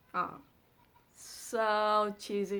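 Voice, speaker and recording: In a Vietnamese accent, a woman speaks in a raised, projected voice with a bright, sharp tone on a very clean recording with a silent background. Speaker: amateur poetry reader and explainer. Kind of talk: reading aloud a translated poem with commentary.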